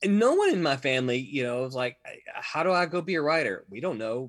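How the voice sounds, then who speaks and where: A Southern US accent with lively intonation. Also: man. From Mississippi. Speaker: comic book writer and editor. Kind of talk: interview.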